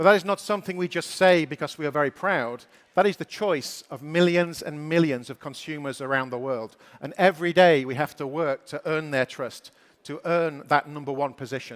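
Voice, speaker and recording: A man with a British accent talks fairly quickly at a fairly high pitch, with ordinary pitch variation and big swings in loudness. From Britain. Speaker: company executive giving keynote. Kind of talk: keynote speech.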